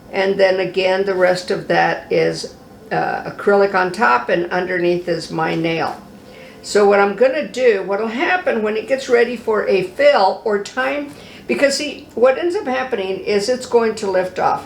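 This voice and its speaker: Fairly slow and medium in pitch, a woman's voice moves through very wide pitch swings. Room echo is audible and background noise is noticeable. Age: 70s. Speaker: cosmetology instructor. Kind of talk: tutorial. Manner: casual, conversational.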